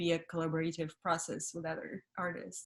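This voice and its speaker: Speaking at a moderate pace, a woman talks in a Russian accent. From Russia (Siberia), then Paris from 15. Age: 30s. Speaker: model, actress and comedian. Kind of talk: interview. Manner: halting, many fillers.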